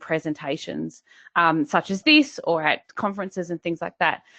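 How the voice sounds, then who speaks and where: A woman with an Australian accent at a moderate pace and medium pitch, with ordinary pitch variation. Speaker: business coach. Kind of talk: webinar presentation. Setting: online webinar.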